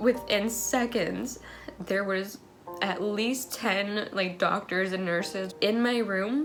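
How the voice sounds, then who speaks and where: With music in the background, a woman with a medium-pitched voice speaks at a very slow pace, with ordinary pitch variation. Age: young. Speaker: military spouse and mother. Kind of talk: personal story told to camera.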